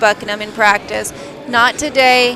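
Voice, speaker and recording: The speech moves at a moderate pace with fairly even intonation. Noticeable background noise can be heard. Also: woman. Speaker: sports commentator. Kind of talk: live commentary.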